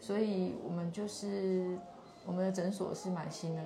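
The voice is monotone with flat intonation, heard with audible room echo and noticeable background noise. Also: woman. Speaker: physician, neurology and geriatric medicine. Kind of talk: on-site interview, explaining her clinic. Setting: live stream on location at a clinic.

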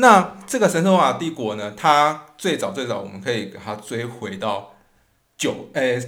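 A man's medium-pitched voice at a fairly slow pace, with very wide pitch swings and big swings in loudness. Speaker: podcast host, history and music storyteller. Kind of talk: educational podcast talk.

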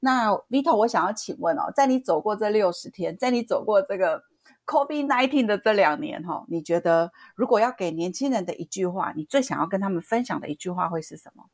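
Fairly quick and fairly high-pitched, a woman's voice sweeps very widely in pitch and swings a lot in loudness, recorded dry and close with no echo. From southern Taiwan. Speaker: podcast co-host. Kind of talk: interview. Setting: online remote recording.

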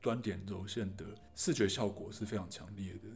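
Somewhat breathy and fairly low-pitched, a man speaks at a moderate pace with fairly even intonation. Audible room echo is present. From Taiwan, Taichung. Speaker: radio DJ and artist. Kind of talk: casual interview conversation.

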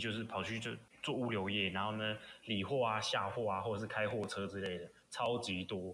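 A man with a Taiwanese accent speaks at a fairly quick pace in a fairly low pitch. His intonation is fairly even, and audible room echo surrounds him. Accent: Taiwanese Mandarin. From Taiwan, Pingzhen in Taoyuan. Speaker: guest. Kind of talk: casual chat.

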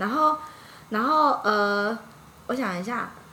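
In a room with audible echo, a woman speaks very slowly with lively intonation. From Taiwan, Yilan. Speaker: former retail sales worker abroad. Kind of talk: casual interview chat.

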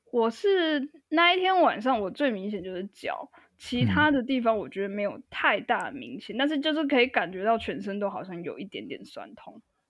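In a Taiwanese accent, a woman speaks at a moderate pace with hardly any pauses. Her fairly high pitch swings very widely, and her loudness shifts a lot. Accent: Taiwanese Mandarin. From Taiwan (Tainan). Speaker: podcast guest, musician. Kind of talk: casual chat.

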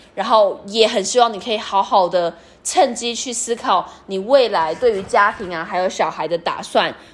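The speaker talks at a moderate pace with hardly any pauses and ordinary pitch variation, over noticeable background noise. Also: woman, medium pitch for a woman. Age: 30s. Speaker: podcast host. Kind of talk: personal experience monologue.

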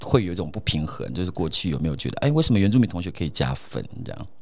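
A man at a very fast pace with lively intonation. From Taiwan, Atayal community in Hsinchu mountains. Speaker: radio host. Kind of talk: casual chat.

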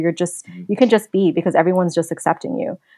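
A woman with a New York accent at a fairly quick pace, dry and close with no echo, against a quiet background. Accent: New York American English. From New York City (Queens). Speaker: traveler. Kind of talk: interview.

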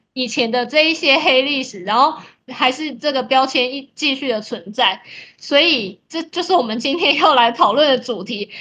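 A woman's raised, projected voice, high-pitched with a bright, sharp tone, ordinary pitch variation and a moderate pace. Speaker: podcast co-host. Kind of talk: casual chat.

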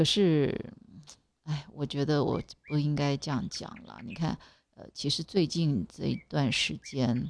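A woman talks very slowly with a very deep, low pitch, vocal fry and lively intonation. Her loudness swings widely over a quiet background. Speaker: podcast host. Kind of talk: casual monologue. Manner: halting, many fillers.

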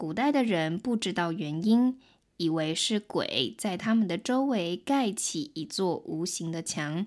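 The recording is very clean with a silent background. A woman with a medium pitch speaks at a very slow pace with lively intonation. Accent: Taiwanese. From Taiwan. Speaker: podcast host and Mandarin tutor. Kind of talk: language-learning podcast narration. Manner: clear, slow-paced.

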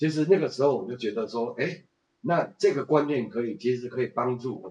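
Speaking in a normal speaking voice, a man talks at a fairly quick pace with medium pitch, ordinary pitch variation and big swings in loudness. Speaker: retired businessman and tour guide. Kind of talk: casual interview.

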